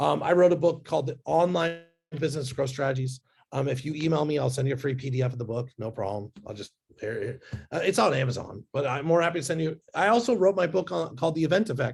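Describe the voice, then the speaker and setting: A man's fairly high, somewhat breathy voice, very fast and lively in intonation. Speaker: business growth speaker and author. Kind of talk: webinar presentation. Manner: animated.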